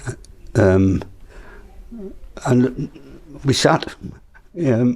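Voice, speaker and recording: A man with a Yorkshire accent speaks in a dark, mellow tone with ordinary pitch variation. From northern England, South Yorkshire (Sheffield). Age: 80s+. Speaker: local resident sharing memories. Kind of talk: oral history interview. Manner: halting.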